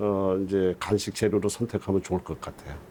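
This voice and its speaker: A man's dark, mellow tone carries at a moderate pace. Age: 60s. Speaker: herbal medicine expert. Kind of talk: interview.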